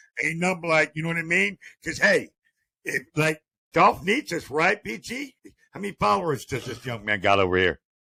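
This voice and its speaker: With a fairly high pitch, vocal fry and very wide pitch swings, a man talks at a moderate pace in a bright, sharp, animated tone, the sound dry and close with no echo. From Ohio, Akron. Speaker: streamer. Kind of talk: casual chat.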